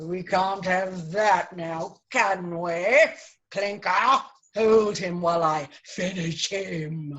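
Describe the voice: Put-on character voice at a middle pitch and a very slow pace.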